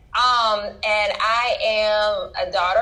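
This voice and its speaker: A woman speaks with a Louisiana accent, with audible room echo. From Louisiana, Baton Rouge. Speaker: doctor and author. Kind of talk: interview.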